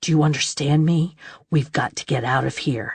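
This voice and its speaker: Growling at a moderate pace, the speaker uses a put-on character voice with an intense tone and a low-to-middle pitch. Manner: intense, urgent.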